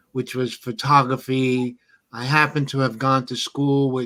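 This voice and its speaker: On a very clean recording with a silent background, a man in a New York accent speaks at medium pitch with monotone, flat intonation. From New York, South Bronx. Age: 60s. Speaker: hip-hop photographer. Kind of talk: interview.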